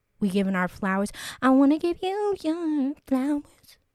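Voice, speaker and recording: An animated woman at a fairly slow pace, her pitch swinging very widely, on a very clean recording with a silent background. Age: 20s. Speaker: podcast host. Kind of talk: casual solo chat.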